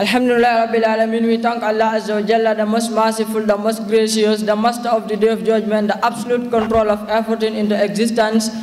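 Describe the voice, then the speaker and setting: This man talks at a very fast pace with hardly any pauses, his high pitch held in a flat monotone at very even loudness, with audible room echo around him. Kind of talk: formal speech. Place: hall. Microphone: podium.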